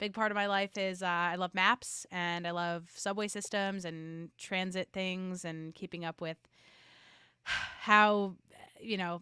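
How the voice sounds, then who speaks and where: A woman with a New York accent speaks at a fairly slow pace. The recording is very clean, with a silent background. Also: medium pitch for a woman, dry, close sound with no echo. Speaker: podcast marketing expert. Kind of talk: interview conversation. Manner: animated.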